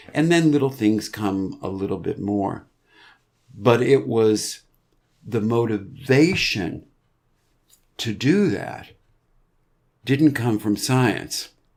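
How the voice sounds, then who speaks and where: A man with an American accent talks at a medium pitch with ordinary pitch variation. His pace is very slow, broken by long, frequent pauses. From US Northeast, Boston area. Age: 70s. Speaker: podcast guest, person in long-term addiction recovery. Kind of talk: interview conversation.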